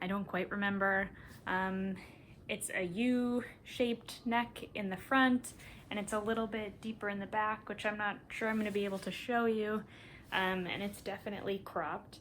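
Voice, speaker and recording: With an American accent, a woman in a plain, everyday voice speaks at a moderate pace and a medium pitch with fairly even intonation. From US Midwest, Minnesota. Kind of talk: casual vlog monologue. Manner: relaxed, frequent ums.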